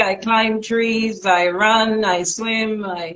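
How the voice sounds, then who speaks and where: A woman speaks in a fairly high voice. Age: 60s. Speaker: natural health practitioner. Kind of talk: live stream interview. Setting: live stream.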